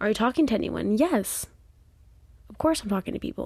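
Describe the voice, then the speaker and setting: A woman speaks on a very clean recording. The background is silent. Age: 20s. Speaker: podcaster and former YouTuber. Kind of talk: casual solo chat. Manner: animated.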